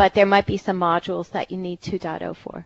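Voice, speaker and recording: This is a woman's voice. She speaks with a Philadelphia accent. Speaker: technical writer and presenter. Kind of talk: technical presentation.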